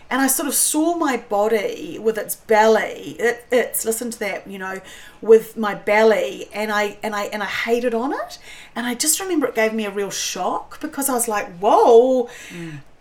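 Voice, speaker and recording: A woman with a New Zealand accent speaks at a moderate pace with lively intonation and a fairly high pitch. Her loudness swings widely over noticeable background noise. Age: 50s. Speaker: cook and food writer. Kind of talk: casual chat. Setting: at her beach house.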